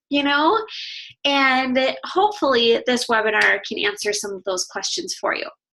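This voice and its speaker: In a raised, projected voice, a woman with a high pitch and a bright, sharp tone speaks at a moderate pace, her pitch swinging very widely. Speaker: fitness coach. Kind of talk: webinar presentation. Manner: casual, chatty.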